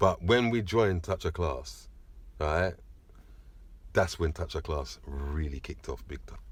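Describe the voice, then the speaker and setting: In a very clean recording with a silent background, a man with a very deep, low, somewhat breathy voice speaks at a fairly slow pace with lively intonation and long, frequent pauses. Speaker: sound system DJ, selector. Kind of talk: interview, reminiscing.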